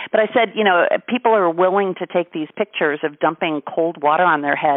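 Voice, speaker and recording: A woman's ordinary speaking voice, with ordinary pitch variation at a moderate pace. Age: 50s. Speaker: radio show host. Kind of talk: interview.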